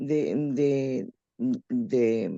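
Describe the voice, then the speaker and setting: A woman's voice sounds dark and mellow, with very wide pitch swings. The sound is dry and close, without echo. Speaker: panelist, history enthusiast. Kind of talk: short speech at panel.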